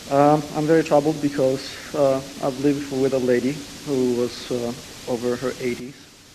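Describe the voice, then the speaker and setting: A man talks at a moderate pace in a fairly high, monotone, flat voice. There is noticeable background noise. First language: Italian. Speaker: audience member asking a question. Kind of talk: question and answer. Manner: hesitant.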